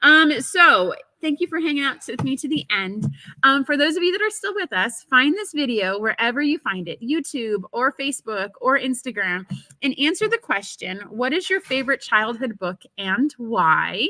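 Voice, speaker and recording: This woman talks in a raised, projected voice with a high pitch and very wide pitch swings at a moderate pace. Her tone is bright and sharp, and the sound is dry and close with no echo. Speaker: live show host for a fabric company; mother. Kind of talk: live stream sign-off. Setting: live video stream. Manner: casual, filler-heavy.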